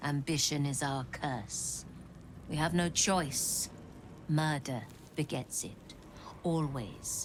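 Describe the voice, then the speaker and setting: Over clear background noise, a female-sounding put-on character voice speaks at a very deep, low pitch and a very slow pace, with long, frequent pauses. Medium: video game. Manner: sardonic, weary.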